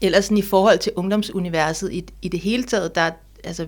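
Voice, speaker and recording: A woman talks at a moderate pace in a medium pitch with vocal fry. Her intonation is fairly even. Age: 40s. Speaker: author. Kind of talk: interview conversation.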